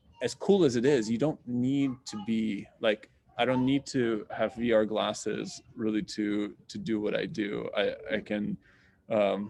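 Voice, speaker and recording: A man speaks at a medium pitch with a slight Russian accent and ordinary pitch variation against a quiet background. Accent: slight Russian accent in American English. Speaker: astronomy professor. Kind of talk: Q&A answer in an online science talk. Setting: video call. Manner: casual, many fillers.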